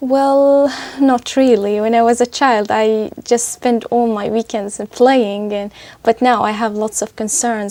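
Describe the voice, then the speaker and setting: In an Arabic accent, a woman with a fairly high, dark, mellow voice speaks at a moderate pace in a monotone, flat way. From Syria. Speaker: test candidate, student. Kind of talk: language exam interview. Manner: halting.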